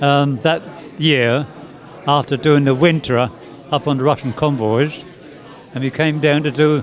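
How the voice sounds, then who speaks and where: A man's fairly high voice at a fairly slow pace, with fairly even intonation, long, frequent pauses and noticeable background noise. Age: 90s. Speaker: war veteran. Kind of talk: interview. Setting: museum interview. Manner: halting.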